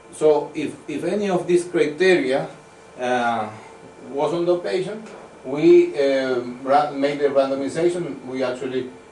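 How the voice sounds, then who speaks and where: A man at a fairly slow pace, fairly high in pitch with ordinary pitch variation, amid audible room echo and noticeable background noise. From Venezuela. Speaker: medical researcher. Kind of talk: conference talk. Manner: halting.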